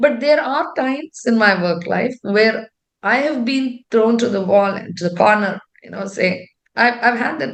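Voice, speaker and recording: A woman speaks at a moderate pace in a fairly high pitch. Her intonation is lively. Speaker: tech executive. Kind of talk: interview. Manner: loud; talkative.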